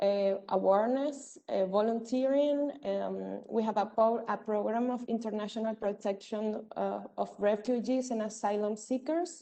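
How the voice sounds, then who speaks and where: With a Spanish accent, a woman speaks in a dark, mellow tone at a fairly slow pace with hardly any pauses. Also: fairly high pitch for a woman, ordinary pitch variation. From Venezuela. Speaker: community intervention worker at an NGO. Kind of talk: presentation at a virtual event. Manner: halting, many fillers.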